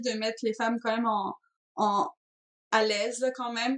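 With a strong Breton accent, a woman speaks at a fairly high pitch and with fairly even intonation. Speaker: video game designer. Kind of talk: interview.

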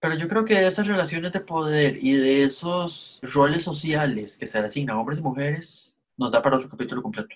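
A man with an unremarkable speaking voice, fairly high pitch, a fairly quick pace and lively intonation. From Costa Rica. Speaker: podcast co-host. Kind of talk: casual chat.

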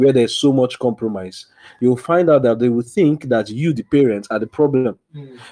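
A man speaks with a Nigerian accent at a medium pitch and a moderate pace. His tone is dark and mellow, with ordinary pitch variation. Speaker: Bible study leader. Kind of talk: religious study session, teaching and prayer. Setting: online group call.

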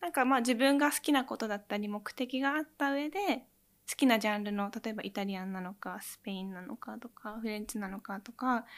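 A woman's ordinary speaking voice with ordinary pitch variation and big swings in loudness, on a very clean recording with a silent background. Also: fairly high pitch for a woman. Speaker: cooking researcher and pastry teacher. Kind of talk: interview.

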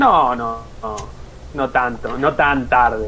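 A man speaks with noticeable background noise around him. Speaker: podcast co-host, teacher trainee. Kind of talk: casual chat. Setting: live stream.

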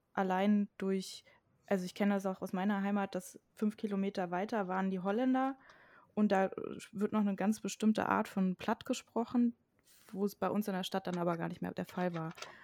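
At a moderate pace, a woman speaks with fairly even intonation. The recording is very clean, with a silent background and a dry, close sound with no echo. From western Germany near the Dutch border. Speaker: podcast co-host. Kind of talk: casual discussion.

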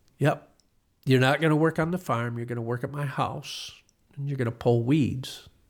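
A man with an American accent speaks at medium pitch and a moderate pace. His is an ordinary speaking voice with fairly even intonation. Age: 60s. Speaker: retired car dealership owner. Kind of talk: casual interview.

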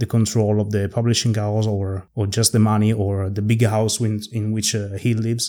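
A man with an Italian accent speaks at a fairly low pitch with a dark, mellow tone. The recording is very clean, with a silent background. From Italy. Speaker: podcast host. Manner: hesitant, halting.

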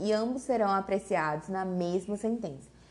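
A medium-pitched woman's voice with a Brazilian accent. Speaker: law teacher. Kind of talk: lecture reading statutes aloud.

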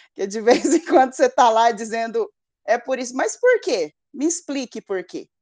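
A woman speaks at a moderate pace in a high pitch with very wide pitch swings. The sound is dry and close, with no echo. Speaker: psychologist and mother. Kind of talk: interview.

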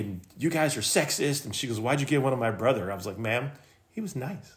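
A man's medium-pitched, somewhat breathy voice with an American accent and lively intonation. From Michigan, US. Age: 50s. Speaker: small business owner. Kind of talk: casual chat.

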